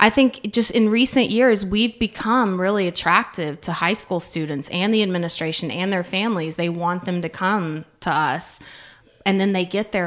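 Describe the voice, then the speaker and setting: With an American accent, a woman uses an ordinary speaking voice, fairly low in pitch, with ordinary pitch variation at a moderate pace. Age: 40s. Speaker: career training school staff. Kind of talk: casual interview.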